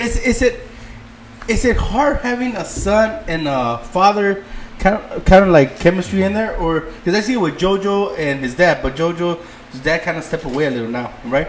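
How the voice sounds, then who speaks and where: Over noticeable background noise, a man talks at a moderate pace in a high voice with very wide pitch swings. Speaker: boxing podcast co-host. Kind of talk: casual chat. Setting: live podcast stream.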